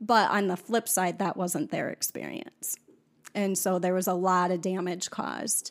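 In an American accent, a woman speaks at medium pitch with an unremarkable speaking voice. Her pace is moderate and her pitch variation is ordinary. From US Midwest, South Dakota farm. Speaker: podcast guest sharing life story. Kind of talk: personal testimony in casual interview.

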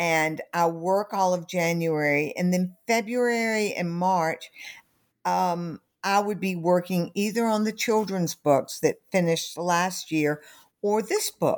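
On a very clean recording with a silent background, a woman with a Southern US accent speaks at a very slow pace and medium pitch. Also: ordinary pitch variation. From US South. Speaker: author and company founder. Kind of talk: interview about her book.

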